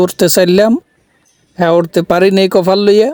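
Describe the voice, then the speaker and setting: A man's high-pitched voice with a dark, mellow tone and a Barisal accent. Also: dry, close sound with no echo. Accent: Barishal dialect Bengali. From Barishal, Bangladesh. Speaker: vlogger. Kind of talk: casual vlog in regional dialect. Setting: metro train and station. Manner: animated.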